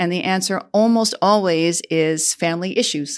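A woman in a medium pitch with a Chicago accent, on a very clean recording with a silent background. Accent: Chicago-area American. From US Midwest, Chicago southwest suburbs. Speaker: diplomat. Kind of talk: interview.

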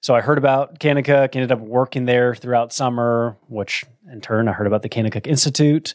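A man's medium-pitched, normal speaking voice with an American accent, fairly even intonation and a fairly quick pace, in a dry, close sound with no echo. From Texas, Plano (north of Dallas). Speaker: dean of men at a ministry institute. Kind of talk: personal testimony in interview. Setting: studio.

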